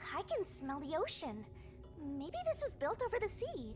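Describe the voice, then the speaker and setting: A put-on character voice at an extremely high pitch moves at a moderate pace over loud background noise. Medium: video game. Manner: cheeky, casual.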